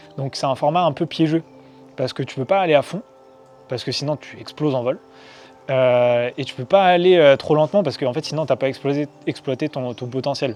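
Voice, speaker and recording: The speech moves at a fairly quick pace with ordinary pitch variation and big swings in loudness. Music plays in the background. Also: man, fairly high pitch for a man. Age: 20s. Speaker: trail runner vlogger. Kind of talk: casual vlog.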